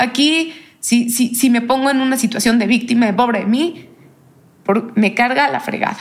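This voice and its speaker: A woman talks at a moderate pace in a high pitch, with ordinary pitch variation. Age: young. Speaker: cancer survivor. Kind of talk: interview testimony.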